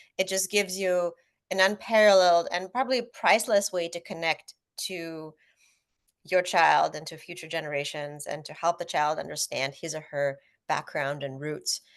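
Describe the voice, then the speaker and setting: Against a quiet background, a woman talks at a moderate pace and a fairly low pitch, with ordinary pitch variation and big swings in loudness. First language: Russian. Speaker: author. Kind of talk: panel discussion.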